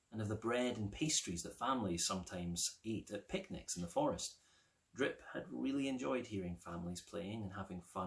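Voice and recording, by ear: Someone reading aloud in a natural voice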